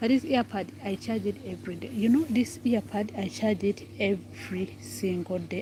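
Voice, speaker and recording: A woman speaks with a Ugandan accent. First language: Ugandan local language. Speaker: vlogger. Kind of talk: casual vlog chat. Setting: outdoors by the road. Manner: halting, repetitive.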